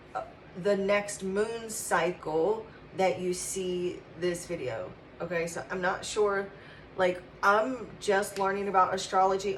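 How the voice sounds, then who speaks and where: A woman with an American accent speaks at a fairly slow pace in a medium pitch, with audible room echo and noticeable background noise. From West Virginia mountains. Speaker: tarot reader. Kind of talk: channeled tarot reading. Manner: halting, many fillers.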